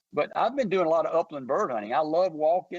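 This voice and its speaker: A man with a Mississippi accent talks, the sound dry and close with no echo. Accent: US Southern (Mississippi). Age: 60s. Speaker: hunting company founder. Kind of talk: radio interview. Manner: halting, repetitive.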